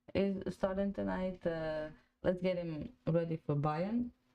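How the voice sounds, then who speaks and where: This woman has a Croatian accent. She speaks at a very slow pace. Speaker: football fan podcast host. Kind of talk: live watch-along chat. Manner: halting, many fillers.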